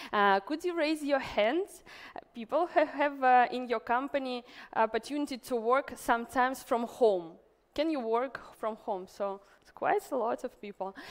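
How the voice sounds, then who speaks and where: Lively intonation in a woman's high-pitched voice. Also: moderate pace, big swings in loudness. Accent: Russian. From Russia. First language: Russian. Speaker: event organizer and entrepreneur. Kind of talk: conference talk. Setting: stage with audience. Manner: halting.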